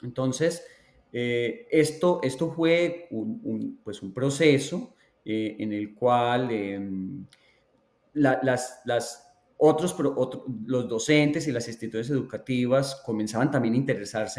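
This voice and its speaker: A man's medium-pitched voice, fairly slow in pace, with big swings in loudness. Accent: Colombian. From Colombia, Antioquia (La Ceja). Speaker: education researcher. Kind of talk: interview.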